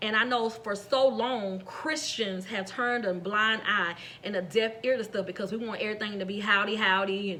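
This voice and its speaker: A woman's fairly high-pitched voice with ordinary pitch variation, audible room echo and noticeable background noise. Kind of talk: sermon-style devotional message. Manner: fast.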